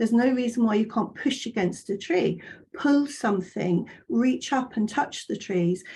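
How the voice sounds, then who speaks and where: At a moderate pace, a woman with a fairly high pitch and a dark, mellow tone shows vocal fry and very wide pitch swings. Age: 60s. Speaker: fitness instructor. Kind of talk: webinar presentation. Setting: online webinar. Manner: conversational, many fillers.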